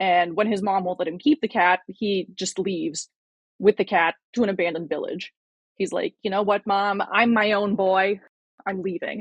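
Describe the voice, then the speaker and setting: A woman at a medium pitch uses an ordinary speaking voice, keeping a moderate pace and fairly even intonation. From Russia, moved to US at seven. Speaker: communist YouTuber and video essayist. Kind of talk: casual podcast interview.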